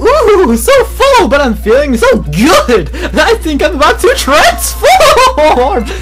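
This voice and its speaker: A put-on character voice moves at a very slow pace over loud music in the background. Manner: excited, cheerful.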